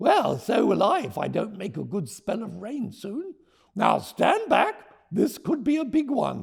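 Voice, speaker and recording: A man's put-on character voice at a moderate pace. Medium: read story.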